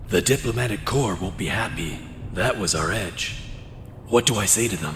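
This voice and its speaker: At a moderate pace, a man uses a put-on character voice with a fairly low pitch over clear background noise. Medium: machinima. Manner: formal, proper.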